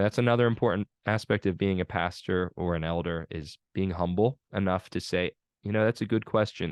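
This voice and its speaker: A man with a northern US accent speaks at a moderate pace in a very deep, low pitch with ordinary pitch variation. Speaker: pastor teaching a seminary course. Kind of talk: online lecture. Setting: video call.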